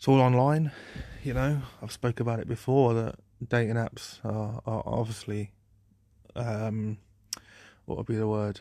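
A man with a British accent speaks at medium pitch and a fairly slow pace, with fairly even intonation and long, frequent pauses. His tone is relaxed, dark and mellow, in a very clean recording with a silent background. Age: 20s. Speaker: podcaster. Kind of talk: solo unscripted ramble. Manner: relaxed, rambling.

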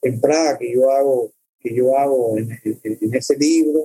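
A man speaks with a Cuban accent at a fairly slow pace. His tone is dark and mellow. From Cuba (born in El Salvador, raised in Cuba). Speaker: documentary filmmaker. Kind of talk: interview conversation. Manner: halting, many fillers and repetitions.

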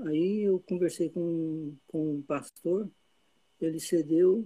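A man speaks at a high pitch in a dark, mellow tone. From Brazil, interior of Goiás. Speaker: Brazilian emigrant, church member. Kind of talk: personal testimony.

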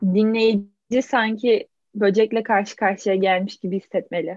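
A woman speaks at a fairly slow pace in a medium pitch with fairly even intonation. The sound is dry and close, with no echo. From Turkey, İzmir. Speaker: podcast co-host. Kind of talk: casual chat.

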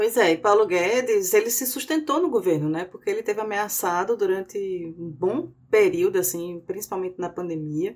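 A woman with a normal speaking voice talks at a moderate pace and medium pitch, with hardly any pauses. Her intonation is lively. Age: 40s. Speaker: podcast host. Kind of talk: political analysis podcast.

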